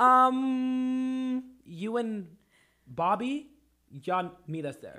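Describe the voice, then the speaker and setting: A man speaks in a raised, projected voice with an extremely high pitch and a bright, sharp tone. The pace is very slow, with long, frequent pauses. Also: ordinary pitch variation. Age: 20s. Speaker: podcast host. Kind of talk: casual chat. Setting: studio. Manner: animated.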